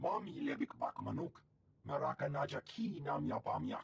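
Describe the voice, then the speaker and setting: A man performs a put-on character voice at a moderate pace. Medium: video game. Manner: speaks alien language.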